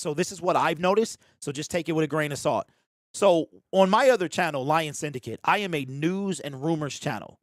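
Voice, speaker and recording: A man with a fairly high pitch talks at a fairly quick pace and with lively intonation. The sound is dry and close with no echo, a very clean recording against a silent background. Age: 40s. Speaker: YouTube livestream host giving channel advice. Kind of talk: casual livestream chat reading viewer comments. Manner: animated, informal.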